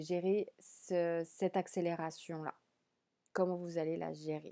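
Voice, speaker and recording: A woman's dark, mellow voice at a very slow pace, on a very clean recording with a silent background. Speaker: tarot reader. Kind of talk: tarot card reading.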